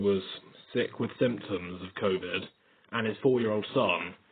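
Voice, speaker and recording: Pitch varies in an ordinary way and the pace stays moderate. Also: man. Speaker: vlogger. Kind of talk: casual vlog monologue. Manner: upbeat.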